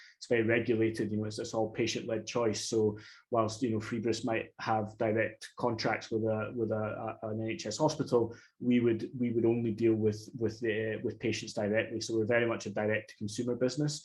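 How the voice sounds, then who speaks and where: A man talks at a fairly quick pace in a somewhat breathy, monotone voice with flat intonation. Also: medium pitch for a man. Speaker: startup founder. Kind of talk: webinar panel talk. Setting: online webinar. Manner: hesitant, many fillers and repetitions.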